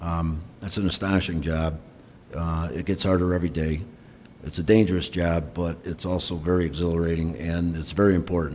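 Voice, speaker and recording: Audible room echo surrounds a man whose very deep, low pitch carries a monotone, flat intonation. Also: fairly quick pace. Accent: American. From Rochester, New York. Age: 60s. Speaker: retiring fire chief. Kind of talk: retirement speech. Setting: council chamber. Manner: halting, many fillers.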